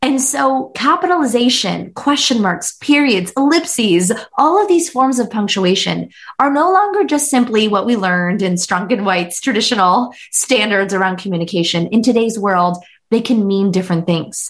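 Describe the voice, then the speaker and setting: This woman's fairly high, somewhat breathy voice makes very wide pitch swings while her loudness stays very even at a moderate pace. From US Pennsylvania (Pittsburgh area). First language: Hindi. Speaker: author and business CEO. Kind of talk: podcast interview conversation.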